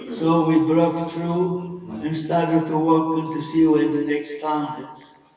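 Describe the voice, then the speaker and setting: The speech is fairly slow, with monotone, flat intonation and big swings in loudness. Noticeable background noise can be heard. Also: man, fairly high pitch for a man. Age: 80s+. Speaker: Holocaust survivor. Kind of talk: talk to an audience.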